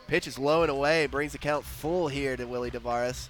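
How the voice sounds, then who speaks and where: A man talks amid noticeable background noise. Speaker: baseball play-by-play announcer. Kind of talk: live commentary.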